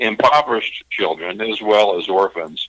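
A man's fairly low voice with a bright, sharp tone. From Kentucky. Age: 60s. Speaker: charity founder. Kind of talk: interview. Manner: halting.

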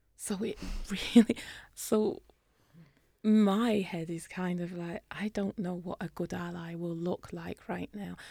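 Speaking very slowly in a British accent, a woman with a medium pitch and a dark, mellow tone keeps her intonation fairly even while her loudness swings widely. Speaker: dentist. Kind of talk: interview.

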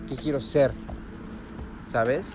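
Over noticeable background noise, a man at medium pitch talks with a Mexican accent. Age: 30s. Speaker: podcaster. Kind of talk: motivational monologue. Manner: halting, frequent fillers.

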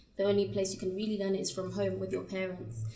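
A woman with a British accent at a medium pitch and a very fast pace, her intonation fairly even, over noticeable background noise. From England (British-Ugandan). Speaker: content creator and pageant winner. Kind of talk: casual interview.

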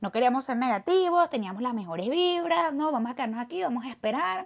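An animated woman with a Caracas accent, very wide pitch swings, and a very clean recording with a silent background. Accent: Venezuelan Spanish (Caracas). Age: 30s. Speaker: podcaster. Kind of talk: monologue storytelling.

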